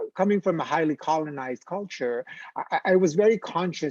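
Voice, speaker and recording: A man speaks with a Filipino accent and ordinary pitch variation. The sound is dry and close, without echo. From Philippines. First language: Filipino language. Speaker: theater artist. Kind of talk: panel discussion. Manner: halting.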